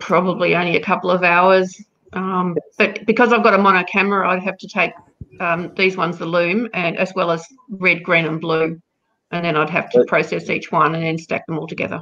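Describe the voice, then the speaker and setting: A woman with an Australian accent, fairly low in pitch, at a fairly quick pace with fairly even intonation. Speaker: astrophotographer. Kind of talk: casual chat. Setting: video call.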